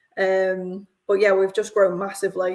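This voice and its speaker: In a northern English accent, a woman talks at a moderate pace. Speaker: company representative. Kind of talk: live podcast interview.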